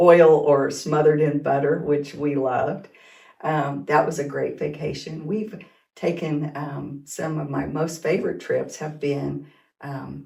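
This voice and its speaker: The woman's voice is very deep and low, with vocal fry. She talks at a fairly slow pace with fairly even intonation. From Kansas and Oklahoma. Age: 60s. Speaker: teacher and school administrator. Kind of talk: casual interview.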